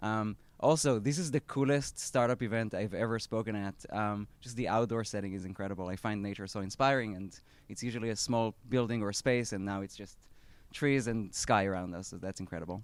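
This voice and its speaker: Speaking in an Israeli accent, the man has a fairly low pitch, ordinary pitch variation and a fairly quick pace. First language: Hebrew. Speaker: startup founder. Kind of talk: talk at an event. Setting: outdoor live event with audience. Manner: hesitant, many fillers.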